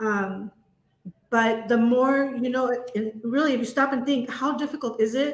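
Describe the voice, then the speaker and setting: Here a woman speaks at a moderate pace. Her intonation stays fairly even. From US, child of Latin American immigrants. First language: Spanish. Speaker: education leader. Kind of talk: interview.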